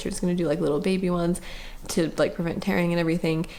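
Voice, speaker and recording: A woman mumbles at a very fast pace in a medium pitch, with audible room echo around her. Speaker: vlogger sharing birth story. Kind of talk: casual personal story. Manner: mumbling.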